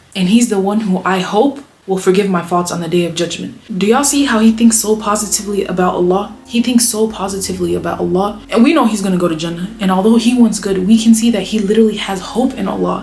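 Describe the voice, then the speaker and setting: A woman speaks at a very fast pace with hardly any pauses, her medium pitch showing ordinary variation over noticeable background noise. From United States. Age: 20s. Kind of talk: casual talk to camera. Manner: upbeat.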